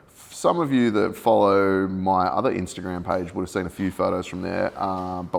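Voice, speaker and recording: A man with an Australian accent, a very deep, low pitch and a fairly quick pace. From Sydney, Australia. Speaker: podcast host. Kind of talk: casual chat.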